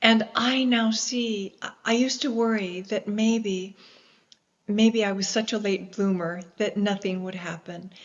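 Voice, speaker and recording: A woman with an American accent speaks at a medium pitch and a fairly slow pace. Her intonation is fairly even, and hers is an unremarkable speaking voice. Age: 60s. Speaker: explorer and environmentalist. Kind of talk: interview.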